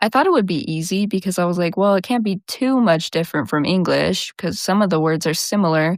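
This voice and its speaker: A relaxed-toned woman with an American accent, medium pitch and a moderate pace. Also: dry, close sound with no echo, very clean recording, silent background. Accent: slight country twang, stronger when tired. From US Southwest. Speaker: podcast host. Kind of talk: casual chat. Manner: lazy, relaxed articulation; animated.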